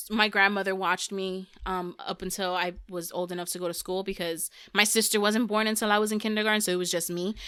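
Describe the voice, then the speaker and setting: In a Spanish accent, a woman with a medium pitch and a bright, sharp tone speaks at a very fast pace with hardly any pauses, recorded very cleanly against a silent background. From United States, Puerto Rican and Dominican family. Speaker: podcast guest. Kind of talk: casual chat. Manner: animated.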